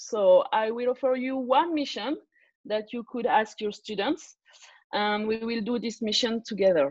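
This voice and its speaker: A woman with a non-native accent speaks fairly slowly in a fairly high pitch with ordinary pitch variation, against a quiet background. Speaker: learning consultant, former teacher. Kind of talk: online tutorial presentation. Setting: video call webinar. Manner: hesitant, many fillers.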